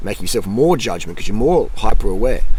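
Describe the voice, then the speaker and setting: Energetic in tone, a man speaks with an Australian accent. His pace is fairly quick. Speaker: YouTuber, cycling and nutrition vlogger. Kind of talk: motivational talk to camera. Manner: casual, repetitive and energetic.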